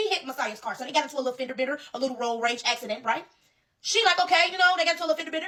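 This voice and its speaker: A woman speaks at a very fast pace in a raised, projected voice. Her tone is bright, sharp and animated, with lively intonation. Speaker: social media commentator. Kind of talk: impassioned rant. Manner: loud.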